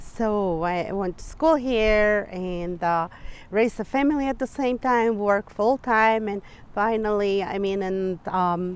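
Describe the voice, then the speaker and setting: Using a Spanish accent, a woman speaks at a medium pitch and a fairly slow pace with ordinary pitch variation. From Mexico. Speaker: clinical therapist. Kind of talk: interview.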